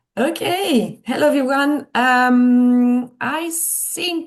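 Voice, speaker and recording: A woman speaks with a French accent and lively intonation. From France. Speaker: tour manager and producer. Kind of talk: webinar presentation. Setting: video call webinar. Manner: hesitant, many fillers.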